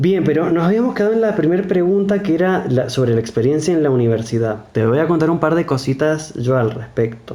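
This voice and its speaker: Amid noticeable background noise and audible room echo, a man with an Argentine accent talks at a fairly quick pace, his fairly high pitch making very wide swings. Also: very even loudness. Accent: non-Buenos Aires Argentine. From Argentina, mountain province outside Buenos Aires. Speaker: psychologist. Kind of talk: casual discussion.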